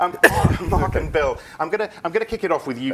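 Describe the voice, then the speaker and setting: Very wide pitch swings mark this man's voice as he talks at a very fast pace. Noticeable background noise runs underneath. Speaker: moderator of live panel show. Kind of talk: live panel moderation. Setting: studio at a conference.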